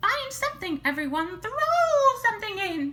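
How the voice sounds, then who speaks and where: A squeaky, female-sounding put-on character voice at an extremely high pitch, with very wide pitch swings and a moderate pace. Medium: read story.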